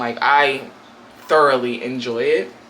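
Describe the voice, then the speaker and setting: A woman's voice moves in very wide pitch swings. Audible room echo and noticeable background noise surround it. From US West Coast, Portland, Oregon. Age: 20s. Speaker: YouTuber. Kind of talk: casual chat. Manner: animated.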